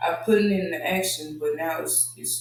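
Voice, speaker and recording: Soft-spoken, a man talks at a fairly slow pace with ordinary pitch variation. Audible room echo and music can be heard in the background. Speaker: podcast host. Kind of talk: casual monologue.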